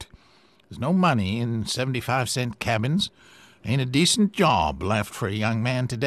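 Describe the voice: Lively intonation in plain reading aloud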